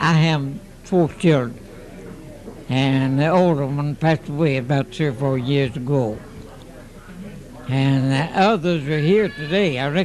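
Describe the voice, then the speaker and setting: With an American accent, a man talks at a fairly slow pace in a fairly high pitch, leaving long, frequent pauses amid noticeable background noise and audible room echo. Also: ordinary pitch variation. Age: 80s+. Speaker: centenarian. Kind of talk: casual interview. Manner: halting.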